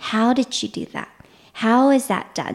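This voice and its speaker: A woman speaks with a Vietnamese accent, somewhat breathy. Her pace is fairly slow. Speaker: mentalist and magician. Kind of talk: interview conversation. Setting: recorded at her home.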